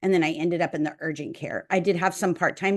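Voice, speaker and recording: Over a quiet background, a woman with an unremarkable speaking voice and a fairly low pitch talks at a fairly quick pace with fairly even intonation. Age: 60s. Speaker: nurse and podcast co-host. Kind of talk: casual chat.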